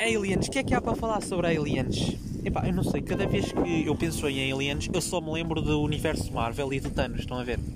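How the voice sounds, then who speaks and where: A man with a slight Aveiro accent, fairly high-pitched and fairly quick, hardly pausing, with lively intonation amid noticeable background noise and audible room echo. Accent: slight local Murtosa accent, by own account. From Portugal, Murtosa (Aveiro district). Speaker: podcaster. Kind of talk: casual solo monologue. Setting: outdoors at the beach. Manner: animated.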